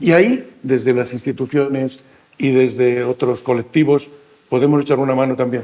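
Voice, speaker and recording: Using a medium pitch, a man talks at a moderate pace in a monotone, flat intonation. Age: 60s. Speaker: senior association representative. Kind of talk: panel discussion. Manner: halting.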